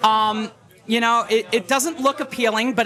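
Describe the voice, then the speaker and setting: In a New York accent, a raised, projected voice speaks at a moderate pace with fairly even intonation. Noticeable background noise is present. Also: man. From Long Island, New York. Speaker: teacher and kava bar regular. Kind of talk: casual chat. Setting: live podcast at a kava bar.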